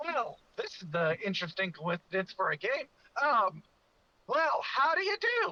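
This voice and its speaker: The speaker uses a put-on character voice at a high pitch. The pace is moderate. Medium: actual play.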